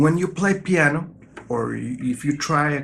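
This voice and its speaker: A man speaks with a non-native accent. His pitch variation is ordinary. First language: not English. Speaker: guitar teacher. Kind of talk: tutorial.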